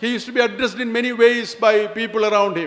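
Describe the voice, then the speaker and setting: A man's extremely high-pitched voice at a fairly quick pace, fairly even in intonation, over noticeable background noise. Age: 70s. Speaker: retired police chief, chief guest. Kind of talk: formal speech.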